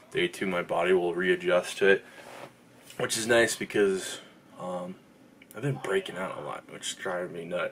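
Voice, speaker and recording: The pace is moderate as a man speaks. Some light noise sits in the background. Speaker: fitness vlogger. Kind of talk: casual vlog chat. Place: home room. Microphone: phone near.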